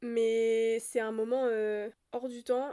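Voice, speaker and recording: A woman speaks in a fairly high voice with a dark, mellow tone and a flat, monotone delivery. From France, Brittany. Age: 20s. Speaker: podcast host. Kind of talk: casual monologue.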